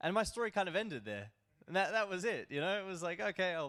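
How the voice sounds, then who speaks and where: Very fast and fairly high-pitched, a man speaks with an Australian accent. The recording is very clean, with a silent background. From Australia, Melbourne. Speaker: crypto broker, conference speaker. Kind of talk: conference presentation. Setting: stage with audience.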